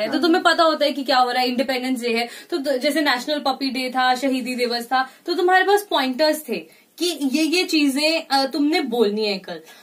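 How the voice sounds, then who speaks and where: A woman speaks over noticeable background noise. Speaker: radio jockey. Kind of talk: interview answer. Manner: mixes Hindi and English.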